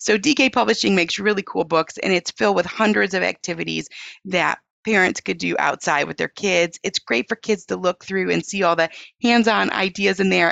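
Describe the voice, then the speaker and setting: A woman speaks at a moderate pace. Her voice has vocal fry. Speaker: author and homeschooling mom. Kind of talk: interview conversation. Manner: animated.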